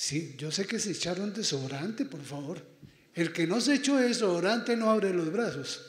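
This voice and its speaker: With audible room echo, a man speaks at a high pitch and a moderate pace, showing very wide pitch swings and big swings in loudness. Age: 60s. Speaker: priest. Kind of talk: pastoral talk to students. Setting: auditorium with student audience. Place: hall.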